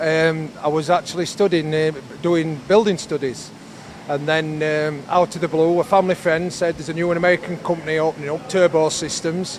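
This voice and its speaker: With a Yorkshire accent, a man talks at a fairly quick pace in a high voice with fairly even intonation, over noticeable background noise. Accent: Yorkshire accent, often commented on. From northern England, Yorkshire (Barnsley area). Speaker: conveyor company representative. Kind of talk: interview. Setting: factory floor.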